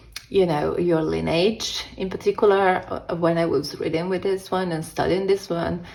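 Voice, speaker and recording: A woman with an Italian accent, a fairly low pitch, monotone, flat intonation and hardly any pauses, over noticeable background noise. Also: moderate pace. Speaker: tarot youtuber. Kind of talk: casual review monologue. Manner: halting, self-correcting.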